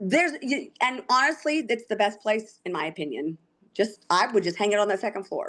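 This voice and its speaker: A woman with a fairly high pitch talks at a fairly quick pace, her pitch swinging very widely. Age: 50s. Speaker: haunted house owner. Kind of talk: casual chat. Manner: fast.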